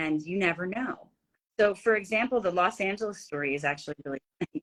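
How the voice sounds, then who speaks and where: A woman with a Philadelphia accent speaks at a very fast pace, with medium pitch and lively intonation. The sound is dry and close, with no echo. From Philadelphia, US. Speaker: actress and business speaker. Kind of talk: interview storytelling. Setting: video call. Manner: animated.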